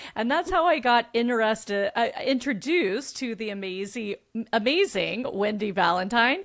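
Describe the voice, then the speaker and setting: At a moderate pace, a woman speaks with an energetic tone and lively intonation. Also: fairly high pitch for a woman. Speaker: podcast host and business coach. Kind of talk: casual interview chat.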